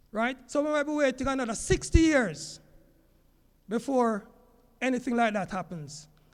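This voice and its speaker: A man speaks at an extremely high pitch with lively intonation. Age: 60s. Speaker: teacher. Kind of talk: public talk.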